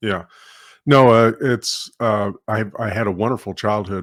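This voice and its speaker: In an American accent, a man with an unremarkable speaking voice talks at a moderate pace. His intonation is fairly even, and the recording is very clean with a silent background. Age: 60s. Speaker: retired law enforcement officer. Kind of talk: testimony.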